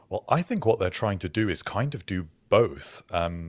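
With a very deep, low pitch, a man talks on a very clean recording against a silent background. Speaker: podcast co-host. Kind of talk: casual podcast chat.

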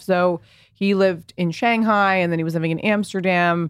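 A woman with an American accent has a plain, everyday voice at a fairly low pitch. Her intonation is fairly even, and the recording is very clean with a silent background. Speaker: fashion entrepreneur and content creator. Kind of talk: casual interview chat. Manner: fast, filler-heavy.

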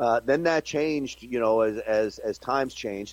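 In a very clean recording with a silent background and a dry, close sound with no echo, a man talks at a fairly quick pace in an ordinary speaking voice, with medium pitch and ordinary pitch variation. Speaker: political pundit. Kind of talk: interview.

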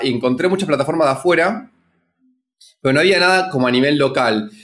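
A man's plain, everyday voice, fairly high in pitch, with lively intonation. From Argentina. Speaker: startup founder. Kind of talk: interview.

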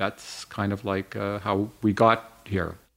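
Heard on a very clean recording with a silent background, a man talks with a Canadian accent. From Slovenia, raised in Canada. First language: Slovenian. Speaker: cosmetics company co-founder. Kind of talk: interview storytelling.

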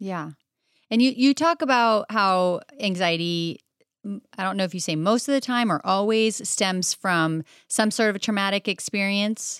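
On a very clean recording with a silent background and a dry, close sound with no echo, a woman with an American accent speaks at a medium pitch and a moderate pace with lively intonation. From France, moved to the US at twelve. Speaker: guest interviewer, parent. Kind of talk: interview.

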